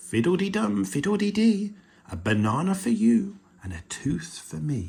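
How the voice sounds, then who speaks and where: A man whispers at a moderate pace in a put-on character voice. His delivery is sing-song. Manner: whispering, singsong.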